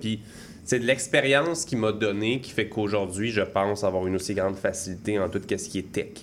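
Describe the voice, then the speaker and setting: A normal speaking voice at a fairly quick pace. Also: man. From Quebec, Laurentians. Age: 20s. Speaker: entrepreneur. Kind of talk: interview.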